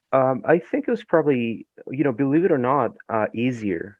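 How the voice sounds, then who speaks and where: A man is speaking. He has a Spanish accent. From Ecuador. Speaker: novelist. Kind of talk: interview. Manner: halting, many fillers.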